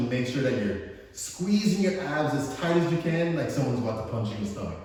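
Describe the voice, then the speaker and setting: Energetic in tone, a man speaks at a fairly quick pace. Noticeable background noise and audible room echo fill the recording. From Jamaica. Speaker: fitness coach. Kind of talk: workout instruction.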